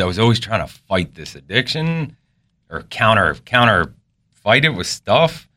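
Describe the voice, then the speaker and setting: In a very clean recording with a silent background, a man with fairly low pitch and a bright, sharp tone makes very wide pitch swings. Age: 30s. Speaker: construction superintendent. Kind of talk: interview. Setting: studio.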